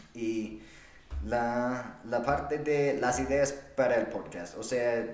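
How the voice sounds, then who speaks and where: A man's medium-pitched voice with a non-native accent and ordinary pitch variation, noticeable background noise, and audible room echo. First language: not Spanish (speaking Spanish). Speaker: podcast host. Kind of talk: solo monologue. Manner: halting.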